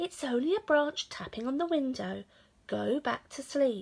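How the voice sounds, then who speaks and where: A woman uses a put-on character voice pitched high. She speaks at a moderate pace. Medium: read story. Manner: sleepy, matter-of-fact.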